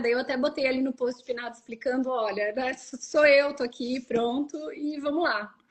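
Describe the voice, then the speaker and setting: This woman has a high-pitched voice with a Rio Grande do Sul accent. She keeps a moderate pace. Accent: southern Brazilian (gaúcho-sounding). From southern Brazil, Santa Catarina. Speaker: Brazilian expat content creator. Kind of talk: casual interview chat.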